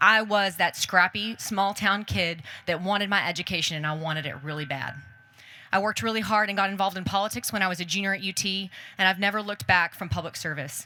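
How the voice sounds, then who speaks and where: At a very fast pace, a woman speaks in a bright, sharp tone with a medium pitch and ordinary pitch variation. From Texas, Hico. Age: 30s. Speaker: mayoral candidate. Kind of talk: campaign speech. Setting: outdoor public forum with audience.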